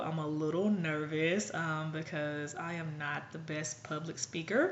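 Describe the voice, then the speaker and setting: A woman's fairly low-pitched voice at a fairly slow pace, with audible room echo. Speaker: blogger. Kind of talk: vlog monologue. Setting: at home.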